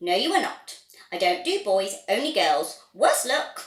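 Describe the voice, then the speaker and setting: Using a put-on character voice, a woman speaks at medium pitch and a fairly slow pace. There is a slight echo. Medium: read story. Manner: brisk, testy.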